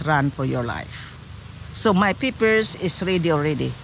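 A woman talks at a moderate pace with a Filipino accent, her pitch swinging very widely. Light noise sits in the background, and the sound is dry with no echo. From Philippines. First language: Filipino language. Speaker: interviewee, widow; interviewee. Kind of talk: storytelling. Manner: animated. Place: beach. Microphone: phone near.

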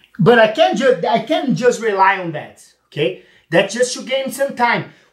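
The background is quiet, and room echo can be heard. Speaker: grappling instructor. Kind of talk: tutorial. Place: gym.

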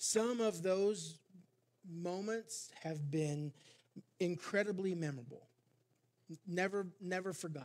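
Pitched high, a man speaks at a fairly slow pace with ordinary pitch variation and long, frequent pauses. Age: 50s. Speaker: pastor. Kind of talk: sermon. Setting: church. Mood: reflective, personal. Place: church. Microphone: headset.

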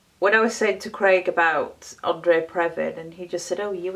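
In a Yorkshire accent, the speaker talks at a moderate pace with monotone, flat intonation. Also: woman, hardly any pauses, big swings in loudness. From Yorkshire, northern England. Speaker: beauty vlogger. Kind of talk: makeup tutorial chat. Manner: hesitant, many fillers. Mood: relaxed, chatty. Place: home room. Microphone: phone near.

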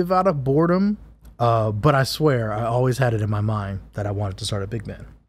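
Somewhat breathy, a man with an American accent speaks at a medium pitch using lively intonation. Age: 30s. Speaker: trumpet player and composer. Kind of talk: casual chat. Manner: laid-back, laughs often.

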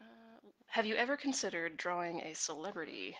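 A soft-spoken woman's fairly low voice at a moderate pace, with very wide pitch swings. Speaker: webcomic artist streaming while drawing. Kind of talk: casual live stream chat answering comments. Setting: live video stream. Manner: soft-spoken, talking quietly; hesitant, many fillers.

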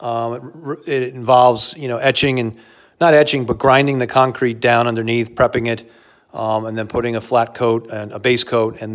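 In front of a quiet background, a man talks at a moderate pace with monotone, flat intonation. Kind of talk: casual walk-through tour. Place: garage. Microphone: phone near.

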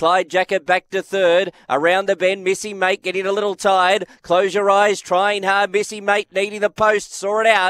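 A man with an Australian accent speaks at a moderate pace with hardly any pauses, his pitch high and his intonation monotone and flat. The sound is dry and close with no echo. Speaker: greyhound race caller. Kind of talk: live commentary.

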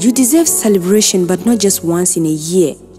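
A woman's medium-pitched voice with lively intonation, over music in the background. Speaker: spoken word poet. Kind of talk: spoken word poetry performance.

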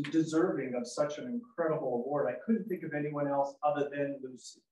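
At a moderate pace, a man speaks with ordinary pitch variation, and audible room echo surrounds his voice. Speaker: event host. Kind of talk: ceremonial welcome speech. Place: hall. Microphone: camera far.

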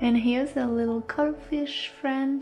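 Over music in the background, a woman talks at a very slow pace with ordinary pitch variation. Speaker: enamel pin collector. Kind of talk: casual talk to camera.

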